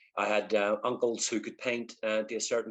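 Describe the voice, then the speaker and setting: A man with a Northern Irish accent talks at a fairly quick pace and medium pitch. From Northern Ireland, East Belfast. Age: 50s. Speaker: artist. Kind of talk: interview. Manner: halting, many fillers.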